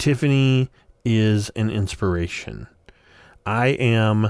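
Against a quiet background, with a dry, close sound and no echo, a man speaks in a normal speaking voice at a fairly low pitch with ordinary pitch variation. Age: 40s. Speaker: weight loss podcaster. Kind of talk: personal audio journal monologue.

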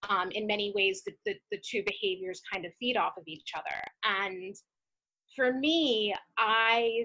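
The woman's tone is bright and sharp. Her pitch sits in the medium range with ordinary variation. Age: 30s. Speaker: guest sharing binge eating recovery. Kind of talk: personal testimony interview. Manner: halting, many fillers and repetitions.

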